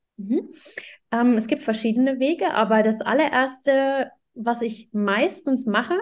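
A woman speaks in an ordinary speaking voice. Her pitch is fairly high, with ordinary variation. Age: 30s. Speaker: parenting coach. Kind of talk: podcast interview.

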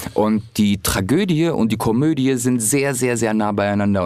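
A man with a medium-pitched voice talks with ordinary pitch variation as noticeable noise carries on behind him. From Hamburg, northern Germany. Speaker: comedian. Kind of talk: casual chat.

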